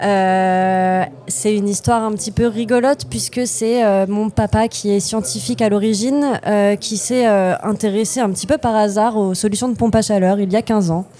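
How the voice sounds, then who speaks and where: Over noticeable background noise, a woman speaks at a medium pitch with lively intonation. Her pace is moderate, with hardly any pauses. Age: 20s. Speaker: company co-founder. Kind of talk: podcast interview. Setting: innovation day event. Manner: hesitant, many fillers.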